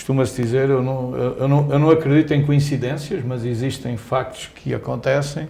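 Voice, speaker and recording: A man with a Portuguese accent speaks at a medium pitch and moderate pace, his intonation monotone and flat with hardly any pauses. Audible room echo and noticeable background noise fill the recording. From Portugal (Coimbra). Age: 60s. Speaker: company executive. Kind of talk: interview. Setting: newsroom.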